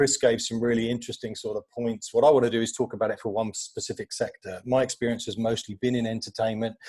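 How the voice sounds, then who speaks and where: A man with a London accent speaks at a very fast pace in a somewhat breathy voice. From England, northwest London. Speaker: media agency executive. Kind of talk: conference panel talk. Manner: halting, many fillers.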